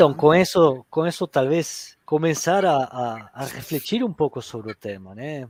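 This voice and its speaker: A man with an Argentine accent speaks at a fairly slow pace and a fairly high pitch, with lively intonation, big swings in loudness and hardly any pauses. The sound is dry and close with no echo, on a very clean recording with a silent background. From Argentina. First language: Spanish (speaking Portuguese). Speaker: HR director. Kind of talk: panel discussion. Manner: halting, many fillers.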